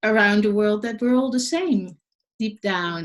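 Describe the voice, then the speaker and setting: A woman with a Dutch accent speaks at a medium pitch with ordinary pitch variation. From Netherlands. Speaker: leadership coach, podcast host. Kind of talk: podcast interview.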